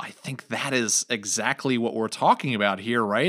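On a very clean recording with a silent background, a man with a plain, everyday voice and an American accent speaks at medium pitch with ordinary pitch variation. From New York. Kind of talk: casual religious discussion.

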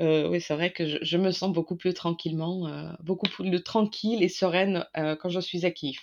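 In a Russian accent, a woman with a fairly low pitch speaks at a moderate pace in a monotone, flat intonation with hardly any pauses. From Ukraine. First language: Russian (speaking French). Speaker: co-author of a war diary. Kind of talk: interview. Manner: halting.

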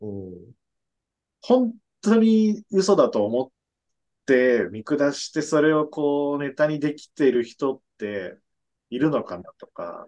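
Speaking fairly slowly with long, frequent pauses, a man with a fairly high voice uses very wide pitch swings and big swings in loudness. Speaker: podcast co-host. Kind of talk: casual chat.

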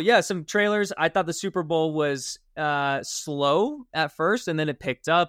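A man with an unremarkable speaking voice, fairly high pitch and lively intonation at a fairly slow pace, in a dry, close sound with no echo on a very clean recording with a silent background. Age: 20s. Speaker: podcast host. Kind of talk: casual chat.

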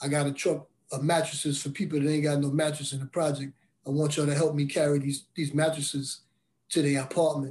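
In a somewhat breathy, fairly high voice, a man rushes at a very fast pace with monotone, flat intonation. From Brooklyn and Bridgeport, Connecticut. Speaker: formerly incarcerated mentor. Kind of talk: testimony.

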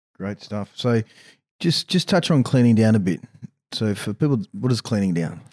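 Recorded very cleanly with a silent background and a dry, close sound with no echo, a man with an Australian accent speaks at a moderate pace and medium pitch with lively intonation. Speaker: mental performance coach and co-host. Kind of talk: casual chat. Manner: halting, many fillers.

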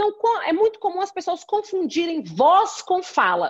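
Here is a woman talking. Her pitch is extremely high. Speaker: law professor and lawyer. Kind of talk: interview.

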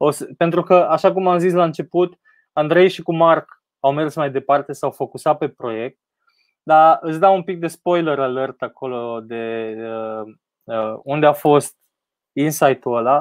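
This is an ordinary speaking voice: a man with a fairly high pitch and ordinary pitch variation talks at a fairly slow pace, with a dry, close sound with no echo and a quiet background. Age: 30s. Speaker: tech entrepreneur. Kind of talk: interview on a live stream.

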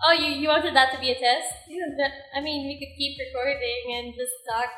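A woman speaks at a moderate pace in a high voice with ordinary pitch variation over noticeable background noise. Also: big swings in loudness. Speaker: podcast co-host. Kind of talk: scripted outro; casual chat. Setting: recording at home.

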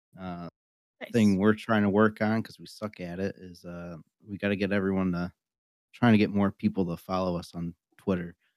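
A man with an American accent speaks at a moderate pace in a fairly low voice. His intonation is fairly even, and the sound is dry and close with no echo. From Western Massachusetts, US. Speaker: wrestler and new co-host.

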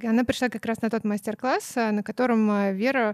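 A woman with an ordinary speaking voice talks at a moderate pace, fairly high in pitch with fairly even intonation, in a very clean recording with a silent background and a dry, close sound with no echo. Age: 30s. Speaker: co-founder of a children's clothing brand, former florist. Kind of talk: casual interview.

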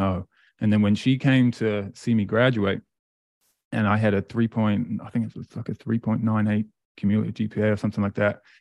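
Against a quiet background, a man with an East Anglian accent speaks at a fairly quick pace in a fairly low, monotone, flat voice, with a dry, close sound and no echo. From England, Great Yarmouth. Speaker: motivational speaker. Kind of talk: interview.

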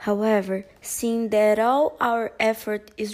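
A woman with a Portuguese accent speaks at a fairly high pitch. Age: 20s. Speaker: university student volunteer. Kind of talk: interview. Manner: didactic and light.

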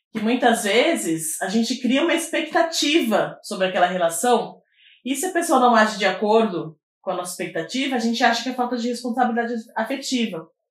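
Speaking at a fairly quick pace, a woman with a fairly high pitch makes very wide pitch swings. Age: 30s. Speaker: activist and social scientist. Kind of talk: casual chat.

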